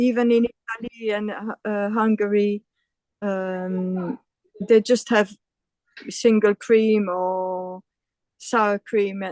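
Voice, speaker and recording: A woman speaks at a medium pitch in a flat monotone, very slowly and with long, frequent pauses, in a dry, close sound with no echo. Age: 60s. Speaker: van traveler. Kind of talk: interview answer.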